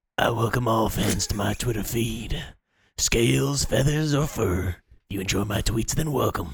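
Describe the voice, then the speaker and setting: A man puts on a raspy character voice at a medium pitch. He delivers it at a moderate pace. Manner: laid-back, smooth.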